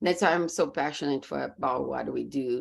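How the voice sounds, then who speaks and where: This woman speaks with a Brazilian Portuguese accent, her pitch very deep and low and her voice full of vocal fry, against a quiet background. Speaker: business coach. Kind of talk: podcast interview.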